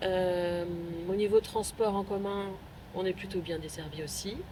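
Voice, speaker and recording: A woman at a moderate pace, her pitch medium. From Paris suburbs, France. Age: 50s. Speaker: local resident. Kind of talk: interview. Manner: hesitant, many fillers.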